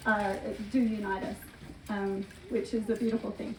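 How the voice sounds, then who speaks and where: Against noticeable background noise, a woman with an Australian accent speaks at a fairly slow pace with fairly even intonation. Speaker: homeschool group leader. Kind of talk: informational talk at a community meeting. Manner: hesitant, many filler words.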